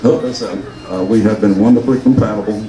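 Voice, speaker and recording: Against noticeable background noise and audible room echo, a man talks in a Southern US accent. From US South, rural Georgia. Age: 70s. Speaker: local businessman speaking at reunion. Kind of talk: personal speech to audience. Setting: luncheon with audience. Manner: halting, with false starts.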